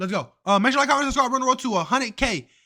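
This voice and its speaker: An animated man with an extremely high, bright and sharp voice, raised and projected, with ordinary pitch variation on a very clean recording with a silent background. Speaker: streamer reacting to videos. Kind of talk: live reaction stream. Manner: loud.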